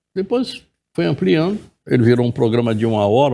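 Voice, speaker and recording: A man's very fast delivery at medium pitch, with ordinary pitch variation and a dark, mellow tone. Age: 70s. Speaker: journalist and TV presenter. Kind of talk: interview.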